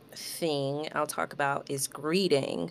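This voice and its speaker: A woman's very deep, low voice at a very slow pace. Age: 30s. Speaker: podcast host and self-care coach for mothers. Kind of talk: solo podcast monologue.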